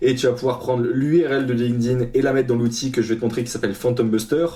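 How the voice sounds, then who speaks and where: Moving at a fairly quick pace, a man speaks in a medium pitch with a dark, mellow tone that is somewhat breathy. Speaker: freelance developer and coach. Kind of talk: tutorial. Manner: casual, hesitant with fillers.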